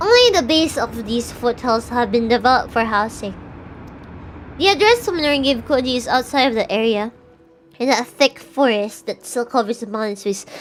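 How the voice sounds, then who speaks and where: A woman's high voice at a moderate pace, with ordinary pitch variation and music in the background. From Philippines. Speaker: VTuber streamer. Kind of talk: reading visual novel aloud with commentary; casual live-stream chat. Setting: live stream.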